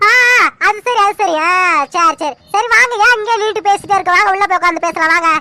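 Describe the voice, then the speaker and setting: A woman uses a cartoonish character voice at an extremely high pitch. She talks at a fairly quick pace with very even loudness. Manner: lively, talkative.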